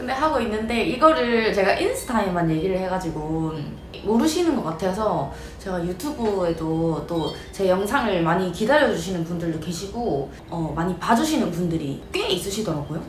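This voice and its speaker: At a moderate pace, a woman talks with very wide pitch swings. Noticeable background noise and audible room echo are present. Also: medium pitch for a woman. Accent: Gyeongsang. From South Korea, Ulsan (Gyeongsang). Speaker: eyelash perm salon owner and instructor. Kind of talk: casual vlog talk to camera. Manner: casual, with many fillers.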